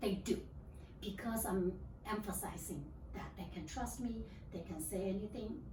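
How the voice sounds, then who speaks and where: A woman with a Chinese accent speaks at a fairly slow pace. Noticeable background noise and audible room echo are present. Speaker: library regional manager. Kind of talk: interview. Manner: halting.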